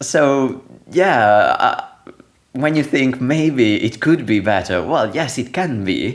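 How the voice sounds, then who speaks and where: A man with an Italian accent talks at a very slow pace, his intonation lively. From Italy. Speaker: software developer, programming language core team member. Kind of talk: podcast interview.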